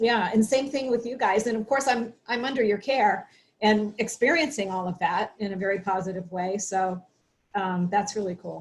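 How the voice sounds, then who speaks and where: A woman speaks at a moderate pace in a medium pitch. Her voice is somewhat breathy, with ordinary pitch variation. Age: 60s. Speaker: health show host. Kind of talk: casual chat.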